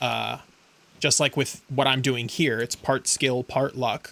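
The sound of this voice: A man speaks at a medium pitch and a fairly slow pace, his tone bright and sharp with little pitch movement.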